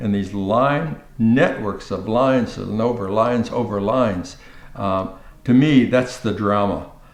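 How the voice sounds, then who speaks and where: A man talks at a very slow pace, his voice carrying audible room echo. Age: 80s+. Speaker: artist. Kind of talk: documentary interview. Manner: halting, with frequent repetitions; animated.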